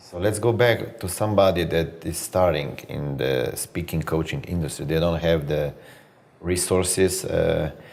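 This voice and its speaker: With a non-native accent, a man talks at a moderate pace in a very deep, low voice with ordinary pitch variation. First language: not English. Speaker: interviewer. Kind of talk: interview.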